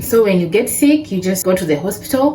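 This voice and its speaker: A woman's voice with very wide pitch swings, audible room echo and noticeable background noise. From Kenya. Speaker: vlogger. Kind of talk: casual vlog talk. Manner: conversational, informal.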